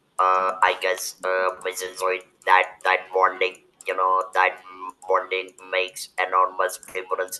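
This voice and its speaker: Music plays behind a man whose pitch is very deep and low. He speaks fairly slowly in a flat monotone. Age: 70s. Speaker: webinar moderator and cancer survivor. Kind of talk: webinar discussion. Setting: video call. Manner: halting.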